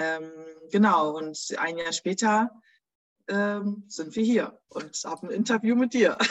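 A woman speaks at medium pitch with ordinary pitch variation. Her pace is very slow, with long, frequent pauses. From Germany. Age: 30s. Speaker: small business owner. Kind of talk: interview.

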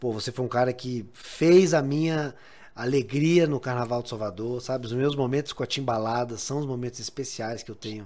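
Using a plain, everyday voice, a man speaks at a fairly quick pace with medium pitch and ordinary pitch variation. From Bahia, Brazil. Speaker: podcast host. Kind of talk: casual interview.

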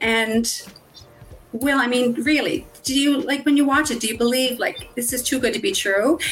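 With music in the background, a woman with a high pitch speaks at a moderate pace with ordinary pitch variation. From Nova Scotia, Canada. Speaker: dental worker turned online business owner. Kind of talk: live-stream interview. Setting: online live stream.

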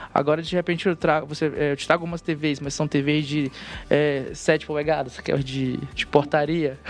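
A man with a fairly high voice speaks in a flat, monotone way. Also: moderate pace. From northern Brazil. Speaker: software developer on a search team. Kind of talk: casual technical panel chat.

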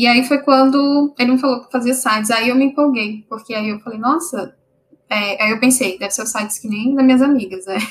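A woman speaks at a fairly quick pace in a high pitch with ordinary variation. Her loudness swings widely. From Brasília, Brazil. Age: 30s. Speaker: software developer. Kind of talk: casual interview.

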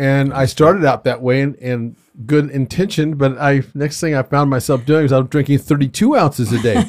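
A man with a plain, everyday voice, pitched fairly high, talks at a moderate pace with ordinary pitch variation. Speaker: podcast host. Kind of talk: casual interview chat. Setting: in-person studio recording.

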